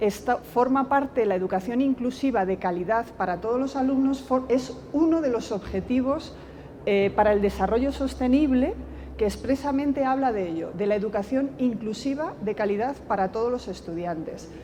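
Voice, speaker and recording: Her pitch high and her intonation lively, a woman with a Castilian accent talks at a moderate pace. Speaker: education professor. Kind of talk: lecture. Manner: soft-spoken.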